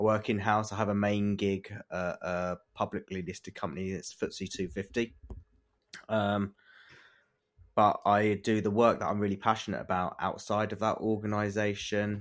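On a very clean recording with a silent background, a man with a fairly low pitch speaks at a moderate pace in a monotone, flat intonation. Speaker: lawyer and diversity advocate, fund co-founder. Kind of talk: podcast interview. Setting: studio.

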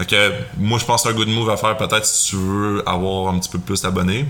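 Over noticeable background noise, a man with a Quebec accent speaks at a fairly low pitch. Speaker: financial advisor. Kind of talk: casual chat.

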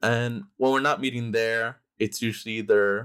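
A man talks at a moderate pace in a normal speaking voice, his pitch medium. The sound is dry and close with no echo, and the recording is very clean over a silent background. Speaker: printmaking collective member. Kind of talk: casual interview conversation.

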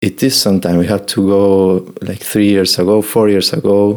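A man's fairly low voice at a fairly slow pace, with fairly even intonation and a Spanish accent. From Argentina. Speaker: meditation and yoga nidra teacher. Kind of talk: casual interview in English.

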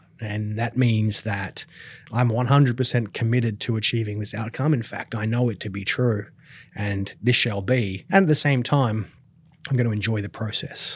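A man speaks at a moderate pace in a medium pitch, somewhat breathy, with ordinary pitch variation. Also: very clean recording, silent background. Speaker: business coach and filmmaker. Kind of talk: interview, explanatory talk.

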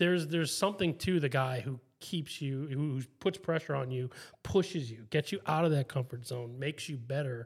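Fairly quick, somewhat breathy male speech at a fairly high pitch, on a very clean recording with a silent background. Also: ordinary pitch variation. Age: 30s. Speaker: podcast host. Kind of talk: casual chat.

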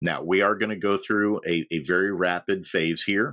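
This man has a fairly low voice with a bright, sharp tone. He speaks with an American accent. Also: dry, close sound with no echo. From US Midwest, Indiana (Logansport). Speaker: organizational psychologist. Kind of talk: podcast interview.

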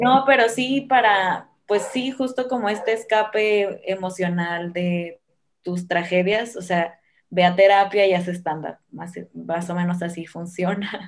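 This woman speaks at a medium pitch. Her pace is very slow. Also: ordinary pitch variation. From Sinaloa, Mexico (Guamúchil). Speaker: stand-up comedian and comedy producer. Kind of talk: casual interview.

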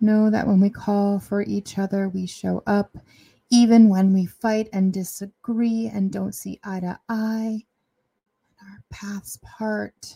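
A woman speaks very slowly in a soothing, calm, dark and mellow tone, somewhat breathy and monotone with flat intonation, her loudness swinging widely, in a very clean, dry, close recording with no echo and a silent background. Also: medium pitch for a woman. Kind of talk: guided meditation. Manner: slow, soothing, calm; gentle, with long pauses.

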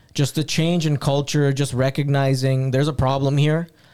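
A man of medium pitch with an unremarkable speaking voice. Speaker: podcast host. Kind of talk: casual chat. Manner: casual, chatty.

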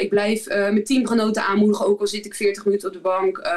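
There is an unremarkable speaking voice from a woman. Her pitch is fairly high and her pace fairly quick. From Netherlands, Rotterdam area (Zwijndrecht, Barendrecht). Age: 30s. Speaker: professional basketball player. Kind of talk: casual interview.

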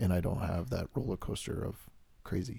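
Somewhat breathy and dark and mellow in tone, a man speaks at a fairly quick pace with a very deep, low pitch and ordinary pitch variation. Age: 30s. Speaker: podcast co-host in addiction recovery. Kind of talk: casual chat.

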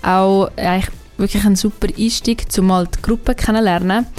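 This is a woman speaking at a medium pitch. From Switzerland, Aargau / Zurich. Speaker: university student. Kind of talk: radio interview. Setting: radio studio.

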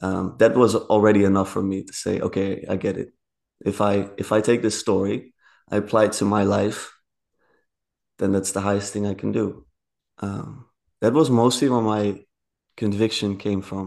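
A man with a Dutch accent, fairly low in pitch, at a moderate pace, with fairly even intonation and long, frequent pauses, against a quiet background. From Netherlands, rural area. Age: 20s. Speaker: podcast guest. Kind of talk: casual interview conversation.

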